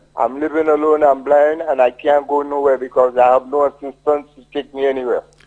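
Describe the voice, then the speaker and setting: Talking at a fairly quick pace with hardly any pauses, a man with a St Lucian accent uses a fairly high, monotone, flat voice that shows big swings in loudness. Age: 70s. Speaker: caller. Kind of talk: call-in complaint. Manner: halting.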